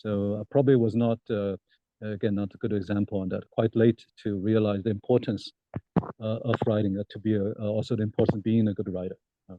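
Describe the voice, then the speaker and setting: The delivery comes in a Chinese accent at a fairly quick pace. The intonation stays monotone and flat. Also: man, fairly low pitch for a man. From China (Shanghai). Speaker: political science professor. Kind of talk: interview. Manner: halting, many fillers.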